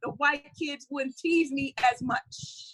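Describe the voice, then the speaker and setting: Raised and projected, a woman's high-pitched voice has a bright, sharp tone. She speaks at a moderate pace, with a dry, close sound and no echo. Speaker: spoken word poet. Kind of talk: spoken word poetry performance. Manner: fiery, compelling.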